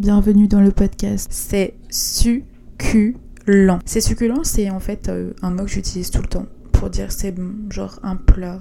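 A woman at a fairly slow pace and medium pitch, with ordinary pitch variation and a normal speaking voice. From western France (Vendée). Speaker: podcaster. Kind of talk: casual monologue. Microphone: new microphone.

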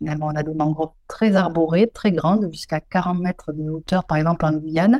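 Dry and close with no echo, a woman's voice has a dark, mellow tone and a moderate pace. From southwest France, Pyrenees. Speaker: ecologist. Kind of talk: interview.

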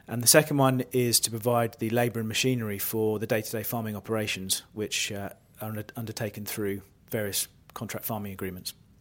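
Speaking with an East Anglian accent, a man keeps a medium pitch, fairly even intonation and a fairly quick pace. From Norfolk, England. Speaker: farm managing director. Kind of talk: casual interview.

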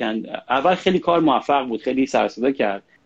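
A man is speaking. His pace is fairly quick. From Iran. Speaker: singer-songwriter. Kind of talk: casual interview. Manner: halting.

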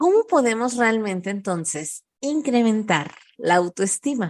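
At a fairly slow pace, a woman talks with a fairly high pitch that swings very widely. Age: 30s. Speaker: parenting podcast host. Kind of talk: solo podcast monologue. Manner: warm, conversational.

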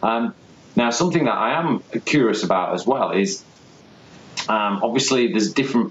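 Over noticeable background noise, a man talks at a moderate pace with medium pitch and lively intonation. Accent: English. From England. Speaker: podcast host. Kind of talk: interview. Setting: call. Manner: halting.

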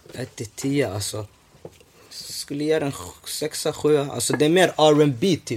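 A man speaks at a very slow pace with ordinary pitch variation. There is noticeable background noise. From Somalia (north), moved to Sweden as a child. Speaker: podcast host. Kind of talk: casual chat. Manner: animated.

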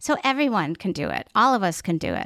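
In a very clean recording with a silent background and a dry, close sound with no echo, a woman with an American accent uses an ordinary speaking voice at medium pitch and a moderate pace. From grew up overseas, American-Saudi family. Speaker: advocacy director. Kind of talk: casual chat.

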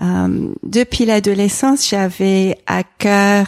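Her pace very slow, a woman speaks at a medium pitch with a dark, mellow tone and fairly even intonation, the sound dry and close with no echo. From England. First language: English (speaking French). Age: 40s. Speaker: environmental association president and pastor's wife. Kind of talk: interview conversation. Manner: hesitant, frequent repetitions.

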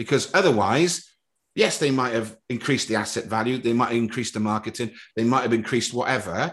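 A man speaks in an animated, passionate tone. The background is quiet. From Wales, Cardiff (Ely council estate). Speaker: former footballer and club executive, bidder for a club. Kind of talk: casual interview.

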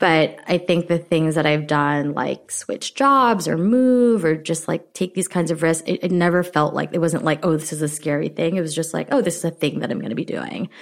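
This woman has an unremarkable speaking voice, fairly low in pitch with ordinary pitch variation, moving at a moderate pace with hardly any pauses. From immigrated to US at age seven. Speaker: startup co-founder and brand officer. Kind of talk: casual interview chat. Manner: casual, filler-heavy, uses many 'like'.

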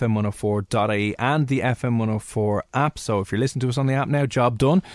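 A man at a very fast pace, medium pitch and ordinary pitch variation. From Ireland. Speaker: radio host. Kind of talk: casual chat. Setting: studio.

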